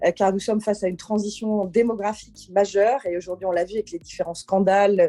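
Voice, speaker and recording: A woman speaks at a fairly quick pace in a dark, mellow tone. The sound is dry and close, with no echo. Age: 50s. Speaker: political candidate. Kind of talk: campaign statement. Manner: hesitant, many fillers.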